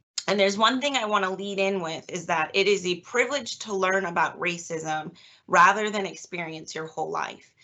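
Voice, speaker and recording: A woman with an American accent and an ordinary speaking voice talks at a moderate pace, with a medium pitch and ordinary pitch variation. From US Northeast, Massachusetts (Easton). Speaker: psychologist, guest speaker. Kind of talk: lecture. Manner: casual, many fillers.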